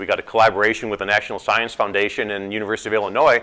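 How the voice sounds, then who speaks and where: A man's fairly low-pitched voice, bright and sharp in tone, at a very fast pace. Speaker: professor. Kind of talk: seminar talk.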